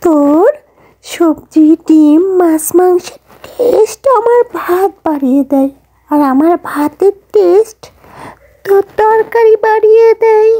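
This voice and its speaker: A woman performs a cartoonish character voice at an extremely high pitch and a very slow pace. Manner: complaining.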